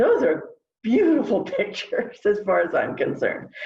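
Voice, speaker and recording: The speaker has an American accent and talks at a moderate pace. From United States. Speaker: academic panelist. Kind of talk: panel discussion.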